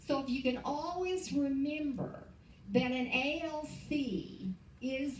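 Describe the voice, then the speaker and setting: An animated woman's voice comes through audible room echo and noticeable background noise. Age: 70s. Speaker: real estate business leader. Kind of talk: motivational talk. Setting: stage with audience.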